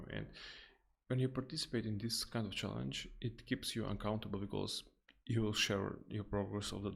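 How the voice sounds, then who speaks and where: A man with a non-native accent speaks with vocal fry and ordinary pitch variation. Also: fairly low pitch for a man. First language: not English. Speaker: software developer streaming coding. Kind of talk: live coding stream. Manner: halting, many false starts; slow.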